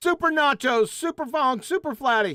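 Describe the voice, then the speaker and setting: A squeaky, high-pitched put-on character voice at a moderate pace, on a very clean recording with a silent background. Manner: playful repetition.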